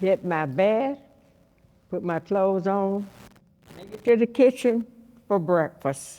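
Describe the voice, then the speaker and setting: A woman's dark, mellow voice at a very slow pace, with long, frequent pauses, big swings in loudness, and lively intonation. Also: medium pitch for a woman. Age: 80s+. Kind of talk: interview answer.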